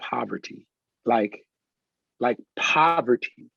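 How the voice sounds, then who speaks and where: The sound is dry and close with no echo. The pace is fairly slow. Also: man. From Los Angeles. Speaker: pastor and adjunct professor; Navy veteran. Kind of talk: interview answer. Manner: enthusiastic.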